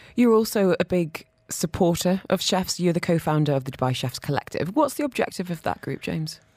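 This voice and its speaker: A normal speaking voice at a fairly quick pace, lively in intonation, with hardly any pauses. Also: woman, fairly low pitch for a woman. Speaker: radio food show host. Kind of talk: radio interview chat. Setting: radio studio.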